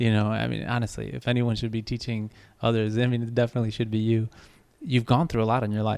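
A man with a Spanish accent speaks at a very fast pace and a medium pitch, his intonation monotone and flat. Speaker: podcast host. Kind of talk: interview.

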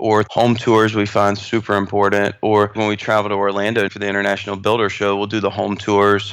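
Spoken in an American accent, the delivery is monotone, with flat intonation. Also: man. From North Carolina. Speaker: custom home builder. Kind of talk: interview.

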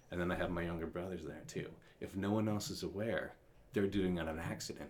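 A man talks in a very deep, low pitch with ordinary pitch variation. Room echo is audible around his voice. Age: 30s. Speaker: college writing tutor. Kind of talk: casual interview chat. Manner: halting, many repetitions and fillers.

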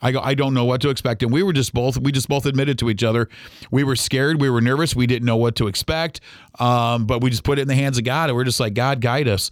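A man speaks very fast at a medium pitch with fairly even intonation and very even loudness, in a very clean recording with a silent background. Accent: Midwestern US. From Ohio (Toledo). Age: 40s. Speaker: radio host. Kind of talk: casual monologue. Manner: hesitant with many fillers.

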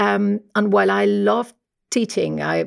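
A woman speaks in a Spanish accent. The recording is very clean with a silent background. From Spain. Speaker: professor. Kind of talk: interview about research.

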